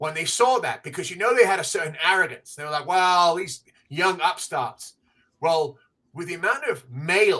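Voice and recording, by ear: Someone is reading aloud in a natural voice over a quiet background.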